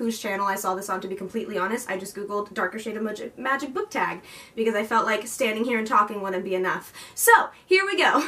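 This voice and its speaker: A woman speaks at a very fast pace. Her pitch varies in an ordinary way. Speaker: book vlogger. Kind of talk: casual vlog chat. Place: home room. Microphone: camera far.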